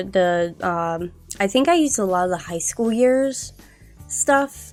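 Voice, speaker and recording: Music plays in the background as a woman speaks in an upbeat tone. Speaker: gaming YouTuber. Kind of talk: casual rambling commentary over gameplay. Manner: chatty, upbeat.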